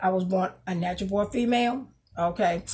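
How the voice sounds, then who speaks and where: A somewhat breathy woman's voice of medium pitch, with ordinary pitch variation. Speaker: gospel singer and pageant coach. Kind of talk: tutorial. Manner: halting, many fillers.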